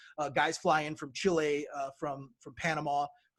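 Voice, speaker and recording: Here a man talks at a fairly quick pace and a fairly high pitch. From Brazil, moved to US as young child. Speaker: wrestling promoter and wrestler. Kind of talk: podcast interview. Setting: podcast. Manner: halting, many fillers.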